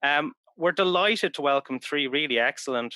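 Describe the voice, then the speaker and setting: A man's bright, sharp voice at a moderate pace with ordinary pitch variation, dry and close with no echo, over a quiet background. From Ireland, Dublin. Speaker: politics professor chairing a panel event. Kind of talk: formal event introduction. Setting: webinar. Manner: hesitant, many fillers.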